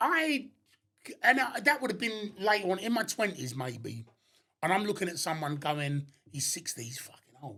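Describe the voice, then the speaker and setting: A man with a South London accent, raised and projected, high-pitched with a bright, sharp tone, very wide pitch swings and big swings in loudness. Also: moderate pace. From southeast London, Abbey Wood. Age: 60s. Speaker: door security worker. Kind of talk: casual chat.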